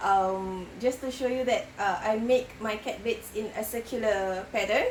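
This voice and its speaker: Noticeable background noise runs under the woman's speech. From Singapore. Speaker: crochet podcaster. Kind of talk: casual vlog chat. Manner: hesitant with many fillers.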